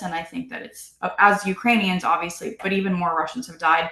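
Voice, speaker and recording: Here a woman speaks at a medium pitch. Her intonation is lively. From United States (immigrated from Russia at young age). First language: Russian. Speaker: congressional candidate. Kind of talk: interview.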